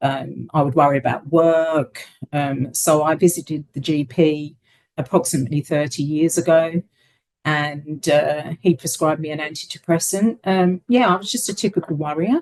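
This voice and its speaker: The speaker is a woman with a very deep, low pitch. She keeps a moderate pace and ordinary pitch variation. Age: 60s. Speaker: interviewee sharing lived experience. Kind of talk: interview testimony. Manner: hesitant, many fillers.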